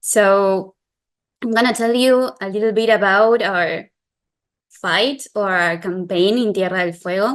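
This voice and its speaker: Against a quiet background, a woman with a Spanish accent speaks at medium pitch and a fairly slow pace with ordinary pitch variation. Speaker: environmental lawyer and activist. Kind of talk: webinar presentation.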